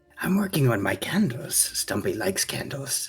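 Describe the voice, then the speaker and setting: This is a put-on character voice. Its pitch falls in the low-to-middle range. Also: moderate pace. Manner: playful character voice.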